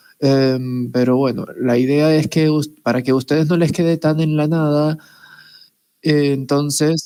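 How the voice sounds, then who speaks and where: Her very deep, low voice has a dark, mellow tone and moves at a fairly slow pace in a monotone, flat delivery. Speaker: teacher. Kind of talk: lecture. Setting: video call.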